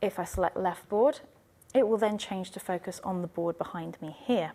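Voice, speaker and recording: A soft-spoken woman with ordinary pitch variation and big swings in loudness. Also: medium pitch for a woman, moderate pace. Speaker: IT trainer. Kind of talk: tutorial. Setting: university teaching room.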